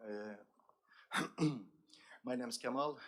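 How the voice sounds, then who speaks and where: A man speaks at a medium pitch with an Azerbaijani accent and ordinary pitch variation. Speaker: accessibility expert. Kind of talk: conference speech.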